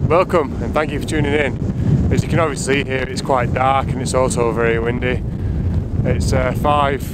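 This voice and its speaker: A man's voice with a dry sound, no echo, and loud background noise. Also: moderate pace. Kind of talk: casual vlog chat. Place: open country. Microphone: phone near.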